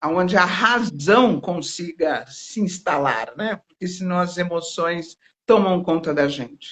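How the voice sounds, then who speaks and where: Very slow speech from a woman with a fairly low pitch and ordinary pitch variation. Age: 60s. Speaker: therapist. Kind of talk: interview.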